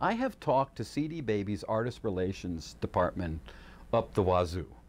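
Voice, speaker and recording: A man talks with very wide swings in pitch and a creaky vocal fry. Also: quiet background. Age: 60s. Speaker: youtuber and musician. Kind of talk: casual monologue. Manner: hesitant, many fillers.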